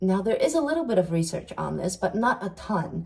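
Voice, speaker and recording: At a moderate pace, a woman talks in a somewhat breathy voice with a dark, mellow tone. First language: not English (third language). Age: 30s. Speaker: self-help video creator and psychology student. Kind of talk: casual monologue video podcast. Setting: sit-down video recording.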